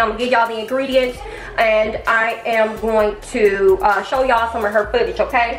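Faint music plays in the background and audible room echo surrounds a woman talking at a moderate pace with ordinary pitch variation. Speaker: home cooking vlogger. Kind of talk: casual vlog chat. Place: kitchen. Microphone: camera far.

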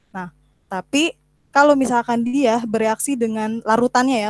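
A woman talking at a fairly quick pace with ordinary pitch variation. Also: dry sound with no echo. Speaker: presenter. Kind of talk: informal online talk, tutorial. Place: home room.

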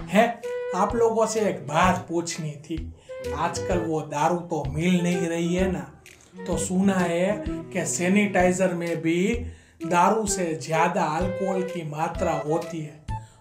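Over clear background music, a man speaks very slowly in a high voice with fairly even intonation. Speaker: comedian. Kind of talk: comic monologue to camera. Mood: joking, playful.

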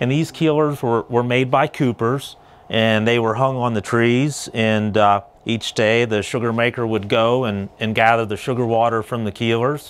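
A man talks at a moderate pace. His intonation stays fairly even. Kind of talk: interview answer. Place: home room. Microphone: lapel.

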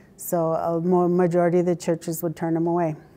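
Speaking in a southern Utah accent, a woman with a fairly low pitch talks at a fairly slow pace. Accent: Western US, southern Utah. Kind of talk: oral history interview, personal storytelling. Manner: reflective, conversational, unhurried, halting with fillers and repeated words. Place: office. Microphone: lapel.

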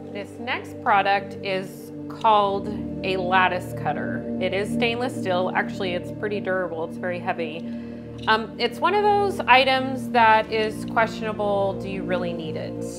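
Clear music sits in the background as a woman speaks at a moderate pace. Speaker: home cooking channel host. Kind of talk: product review tutorial. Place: kitchen.

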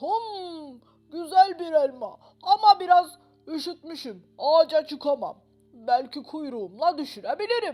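The speaker uses a put-on character voice at a high pitch. The pace is fairly slow. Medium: read story.

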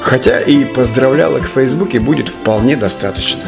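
A man at a moderate pace, clear music in the background. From Estonia. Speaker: actor and rock vocalist. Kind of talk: casual talk to camera. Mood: cheerful, playful. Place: home room. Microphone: lapel.

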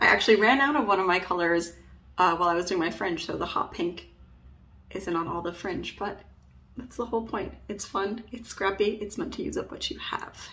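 Her tone is bright and sharp as a woman at medium pitch talks at a fairly quick pace with lively intonation. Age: 30s. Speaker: knitting content creator. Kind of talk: tutorial. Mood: friendly, relaxed. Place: home room. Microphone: phone near.

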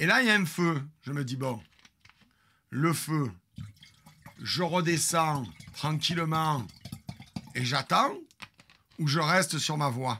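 Long, frequent pauses break up a man's very slow speech, his tone bright and sharp over light background noise. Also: fairly high pitch for a man, ordinary pitch variation. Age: 50s. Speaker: streamer storyteller. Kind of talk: storytelling to live stream audience. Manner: animated. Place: home room. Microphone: studio mic.

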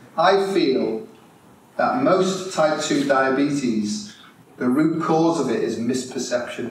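A man with a fairly high voice speaks at a very slow pace with lively intonation. Light background noise and audible room echo are present. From Merseyside, England; England. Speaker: integrative health consultant and speaker; conference speaker. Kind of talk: conference talk to live audience; lecture. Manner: animated. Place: hall.

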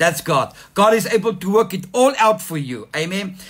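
A warm tone at a moderate pace with lively intonation. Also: man. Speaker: pastor. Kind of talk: sermon. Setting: online church livestream. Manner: animated, fervent, calling for 'amen' responses; warm, exhortative. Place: home room. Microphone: phone near.

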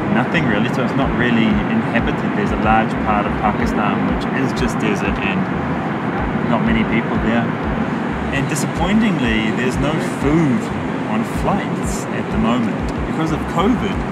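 Over loud background noise, a man speaks at a moderate pace broken by long, frequent pauses. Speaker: travel vlogger. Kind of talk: casual vlog chat. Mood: mildly disappointed. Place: plane. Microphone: phone near.

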